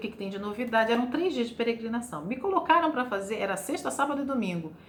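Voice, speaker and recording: A woman with a high pitch talks at a very fast pace, swinging very widely in pitch. Noticeable background noise and audible room echo fill the recording. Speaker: journalism lecturer, former TV reporter. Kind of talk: lecture.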